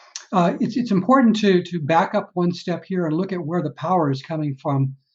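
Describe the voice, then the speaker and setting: A man with a high pitch and a Texan accent talks at a fairly quick pace with ordinary pitch variation. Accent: Texan American. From Texas, San Antonio. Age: 60s. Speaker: retired engineer, EV owner. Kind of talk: webinar talk. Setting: video webinar. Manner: halting, many fillers.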